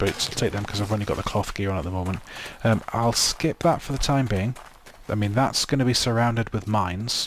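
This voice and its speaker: Noticeable background noise sits under a man's fairly low voice. He speaks at a fairly quick pace with ordinary pitch variation. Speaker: gaming video creator. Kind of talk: let's play commentary. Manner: hesitant with many ums; loud.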